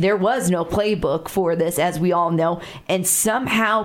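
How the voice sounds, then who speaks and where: With an American accent, a woman talks at a moderate pace in a normal speaking voice, her pitch fairly low and her intonation fairly even. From Chicago. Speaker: radio talk show host. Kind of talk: radio interview. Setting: studio.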